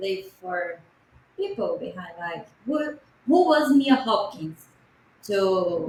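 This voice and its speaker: A woman speaks at a very slow pace with a Portuguese accent. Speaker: podcast co-host and interpreter. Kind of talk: interpreting in interview.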